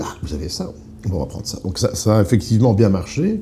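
Noticeable noise sits in the background. Against it, a man talks at a fairly quick pace. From eastern Belgium, near the German border. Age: 30s. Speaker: sommelier. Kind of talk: casual interview. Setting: restaurant office.

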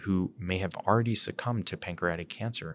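A man speaks with an American accent at a fairly low pitch. The recording is very clean, with a silent background. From Philadelphia. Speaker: physician and cancer geneticist. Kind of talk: interview. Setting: at a conference. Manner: halting, many fillers.

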